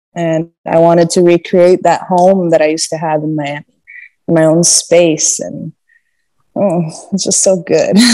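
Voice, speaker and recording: A woman speaks at a fairly slow pace in a fairly low, dark and mellow voice, her flat monotone broken by long, frequent pauses, with a dry, echo-free sound over a quiet background. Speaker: podcast guest. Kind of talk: interview answer. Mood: cheerful, laughing often. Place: home room. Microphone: earbuds.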